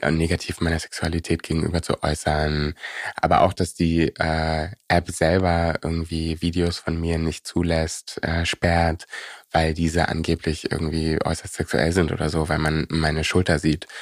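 A man with a very deep, low voice speaks in a monotone, flat intonation at a fairly slow pace, in a very clean recording with a silent background and a dry, close sound with no echo. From Berlin (Prenzlauer Berg). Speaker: musician. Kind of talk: casual interview.

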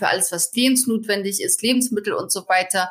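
Fairly high pitch from a woman with an ordinary speaking voice and ordinary pitch variation. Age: 30s. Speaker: finance blogger and author. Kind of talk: podcast interview.

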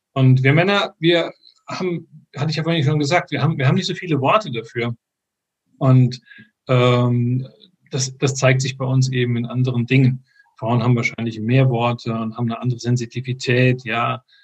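A man's somewhat breathy voice, broken by long, frequent pauses. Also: medium pitch for a man, ordinary pitch variation, moderate pace. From Frankfurt, Hesse, Germany. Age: 50s. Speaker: software engineer and men's group organizer. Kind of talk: interview. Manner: halting, many fillers.

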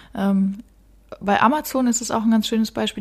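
Somewhat breathy, the woman's voice holds fairly even intonation. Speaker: marketing podcast host and web agency owner. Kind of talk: solo podcast talk. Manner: casual, with frequent fillers.

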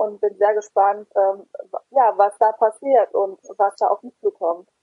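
A woman's fairly high voice at a fairly slow pace, with fairly even intonation. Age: 20s. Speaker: patient volunteer. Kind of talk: interview. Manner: hesitant, frequent fillers.

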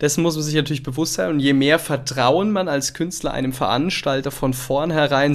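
A man talks at a moderate pace. He has a normal speaking voice with a fairly high pitch. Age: 20s. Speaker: podcast host. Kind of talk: casual interview chat. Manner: casual, filler-heavy.

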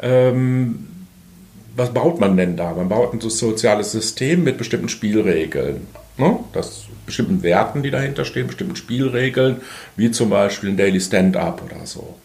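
Audible room echo around a moderate pace and lively intonation. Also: man, medium pitch for a man. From Bielefeld, Germany. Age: 50s. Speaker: organizational consultant. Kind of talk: interview. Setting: studio.

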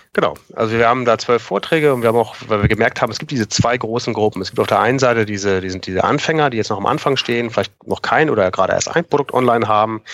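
There is noticeable background noise. A man at medium pitch talks at a very fast pace with ordinary pitch variation. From northern Germany, near Kiel. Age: 40s. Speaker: Amazon seller consultant. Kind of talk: podcast interview.

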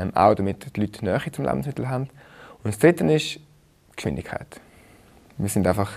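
With long, frequent pauses and very wide pitch swings, a man speaks at a fairly low pitch and a moderate pace. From Switzerland, Rheinfelden. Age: 30s. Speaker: food startup founder. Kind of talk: casual chat.

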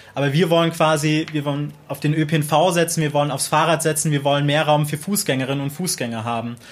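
A man with a normal speaking voice talks at a fairly quick pace, with hardly any pauses. His pitch is fairly high and his intonation fairly even. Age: 20s. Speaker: local council candidate, student. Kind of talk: interview.

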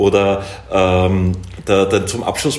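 A man at a fairly low pitch, with audible room echo and noticeable background noise. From Upper Austria. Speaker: artist and filmmaker. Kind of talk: interview.

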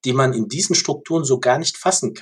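Lively intonation from a man, somewhat breathy. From Germany, Ludwigshafen (Rhineland-Palatinate). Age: 40s. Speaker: organisational and policy consultant. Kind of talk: interview.

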